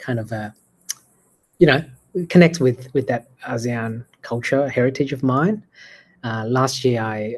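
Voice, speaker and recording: Against a quiet background, a man with an Australian accent speaks at a fairly slow pace. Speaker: AI entrepreneur. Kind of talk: casual chat.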